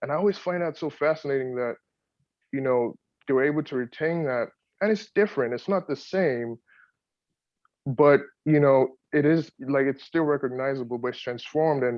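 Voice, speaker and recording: A man speaks at a moderate pace with ordinary pitch variation. He leaves long, frequent pauses. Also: fairly high pitch for a man. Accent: Yoruba. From Nigeria, Lagos. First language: Yoruba. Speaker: poet, audience participant. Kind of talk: audience comment in Q&A. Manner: halting, many repetitions.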